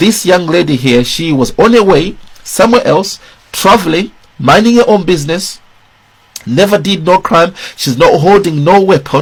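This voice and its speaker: With a Zimbabwean accent, a man speaks at a moderate pace in a high voice full of lively intonation. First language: Shona. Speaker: political commentator. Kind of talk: video commentary.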